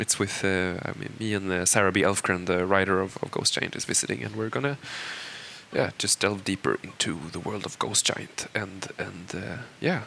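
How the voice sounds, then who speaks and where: Noticeable background noise sits under this recording. A man with a Swedish accent speaks at a moderate pace. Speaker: game creative director. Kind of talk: audio commentary. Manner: halting, many fillers.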